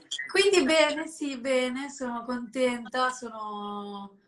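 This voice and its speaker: A woman with a Lombard accent speaks at a very slow pace with a fairly high pitch. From northern Italy, Lombardy (Sesto San Giovanni, Desio). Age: 20s. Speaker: fashion model. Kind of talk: casual interview. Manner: halting.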